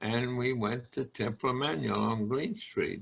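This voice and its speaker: The voice has a bright, sharp tone and vocal fry, with a Southern US accent. It moves at a fairly slow pace. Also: man. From North Carolina (Burlington). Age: 90s. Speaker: congregation elder. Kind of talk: interview. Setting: video call.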